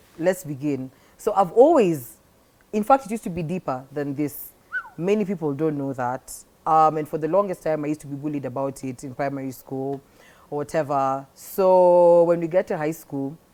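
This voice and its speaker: A woman's very deep, low voice with ordinary pitch variation and noticeable background noise. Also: moderate pace. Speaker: podcast host. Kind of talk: interview. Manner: hearty laugh.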